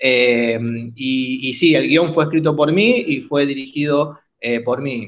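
Very slow speech from a man, fairly high in pitch and with ordinary pitch variation. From Argentina, Buenos Aires area (San Justo). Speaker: filmmaker. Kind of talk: interview. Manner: halting, many repetitions.

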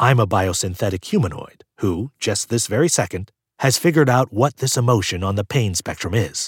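Plain reading aloud with lively intonation sits over a quiet background.

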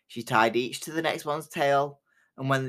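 This is a plain, everyday voice at a moderate pace. The recording is very clean, with a silent background. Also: man. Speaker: storyteller podcast host. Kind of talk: folk tale narration read aloud from a book, in a cozy fireside storyteller style. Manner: measured, storytelling cadence, warm and inviting.

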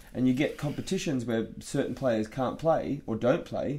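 A man talks at a moderate pace with a medium pitch. His is an unremarkable speaking voice. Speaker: podcast host and volleyball player. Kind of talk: casual chat.

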